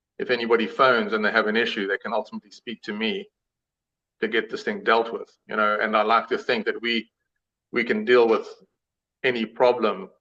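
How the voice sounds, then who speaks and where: This man speaks with a South African accent at a fairly quick pace. He leaves long, frequent pauses. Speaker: suspension company founder. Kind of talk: live show interview.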